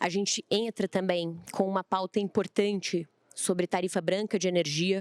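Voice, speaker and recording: A woman talks at a moderate pace with very even loudness and monotone, flat intonation, in a very clean recording with a silent background and a dry, close sound with no echo. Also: medium pitch for a woman. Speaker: panel moderator. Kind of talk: panel discussion. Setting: stage with audience. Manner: naturally loud.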